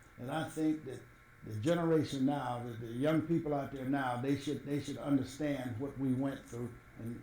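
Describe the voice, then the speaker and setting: Speaking with an American accent, a man uses a fairly high pitch and a dark, mellow, somewhat breathy tone with fairly even intonation. His loudness swings widely, and audible room echo is present. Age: 70s. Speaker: former city administrator. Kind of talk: interview.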